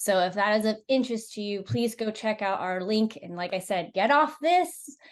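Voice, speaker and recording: With a normal speaking voice and fairly high pitch, a woman talks at a moderate pace using lively intonation. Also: quiet background. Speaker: rally team member hosting a livestream. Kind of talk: casual livestream chat. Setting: social media live video.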